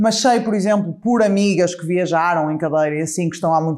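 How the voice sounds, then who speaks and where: Over a silent background in a very clean recording, a woman with a dark, mellow tone talks at a very fast pace, her pitch fairly low and her intonation fairly even. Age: 30s. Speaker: wheelchair user and inclusion advocate. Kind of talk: casual chat.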